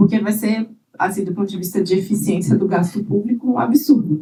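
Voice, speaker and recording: A woman speaks at a medium pitch and a moderate pace. Her tone is dark and mellow, and somewhat breathy. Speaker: government digital rights official. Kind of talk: conference panel talk. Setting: conference panel with audience.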